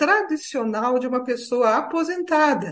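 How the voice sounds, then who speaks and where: A woman in a São Paulo accent speaks at a fairly slow pace with a high pitch. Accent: Brazilian Portuguese, São Paulo. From Brazil, São Paulo. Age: 60s. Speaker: retired lawyer and writer on ageing. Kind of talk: interview.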